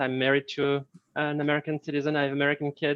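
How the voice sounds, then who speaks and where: A man with a French accent talks very fast at a fairly high pitch. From France. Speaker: marketing staff. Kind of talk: self-introduction on video call. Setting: video call.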